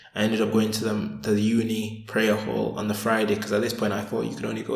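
With audible room echo, a man speaks very fast at a fairly low pitch. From northern England, Sheffield. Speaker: convert sharing his life story. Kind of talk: interview, personal testimony.

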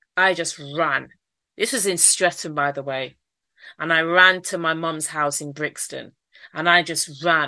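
Speaking at a fairly slow pace, a woman has a fairly low pitch and a bright, sharp tone. Her intonation is fairly even. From Manchester, northern England. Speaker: entrepreneur and author, abuse survivor. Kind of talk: interview, personal testimony.

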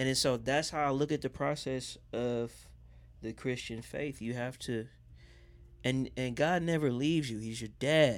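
A man with a normal speaking voice talks at a moderate pace and medium pitch, with fairly even intonation, in a very clean recording against a silent background. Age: 30s. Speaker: R&B singer and podcast producer. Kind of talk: casual chat.

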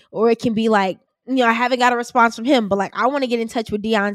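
The voice has an American accent and ordinary pitch variation. The recording is very clean with a silent background and a dry, close sound with no echo. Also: woman. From US Midwest, Chicago West Side. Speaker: podcast host and student. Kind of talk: interview.

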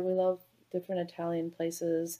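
With a dark, mellow tone, a woman talks fairly slowly. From California, Bay Area. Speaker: physician, anesthesiologist. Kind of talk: casual interview.

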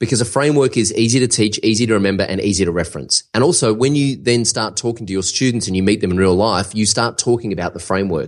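A man with an Australian accent, fairly low in pitch, talking at a fairly quick pace with lively intonation. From Australia, Melbourne. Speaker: online course entrepreneur. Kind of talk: interview.

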